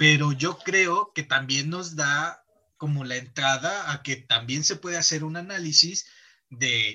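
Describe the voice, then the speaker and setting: A man's fairly high, bright and sharp voice with ordinary pitch variation. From Mexico, provinces. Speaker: podcast host. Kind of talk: casual chat.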